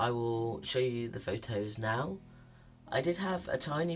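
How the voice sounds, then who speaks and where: Music plays in the background as a man talks at a medium pitch, his pitch varying in an ordinary way. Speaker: vlogger. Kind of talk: casual chat.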